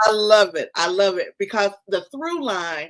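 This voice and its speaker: Speaking at a moderate pace with a North Carolina accent, a woman uses a medium pitch that swings very widely. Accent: Southern, North Carolina. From US South, North Carolina. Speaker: podcast host and publisher. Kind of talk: interview conversation.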